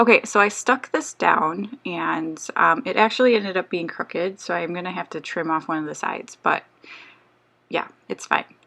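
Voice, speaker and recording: Her voice sits fairly low for a woman, with vocal fry and lively intonation. She keeps a moderate pace. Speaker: scrapbooking video creator. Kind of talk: tutorial voiceover. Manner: casual, hesitant with fillers.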